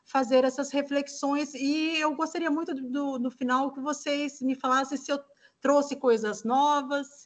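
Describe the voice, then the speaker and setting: This is a woman speaking. Her pitch is high. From Brazil, Mato Grosso do Sul. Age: 50s. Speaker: human rights specialist, lecturer. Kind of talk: lecture.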